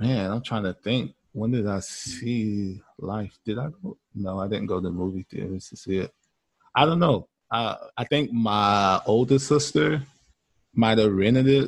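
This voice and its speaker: With an unremarkable speaking voice, a man speaks at a fairly slow pace and a fairly low pitch, using ordinary pitch variation. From US South. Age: 30s. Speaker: podcast guest, movie fan. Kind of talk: casual chat.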